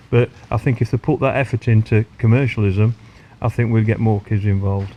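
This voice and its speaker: A man with a dark, mellow, somewhat breathy tone speaks at a fairly quick pace and medium pitch, his intonation fairly even. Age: 60s. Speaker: champion match angler. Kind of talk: casual interview. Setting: outdoors on a lake bank.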